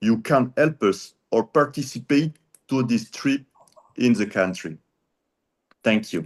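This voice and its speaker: Against a quiet background, a man with a French accent speaks at a fairly slow pace. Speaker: peace activist. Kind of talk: question to speaker.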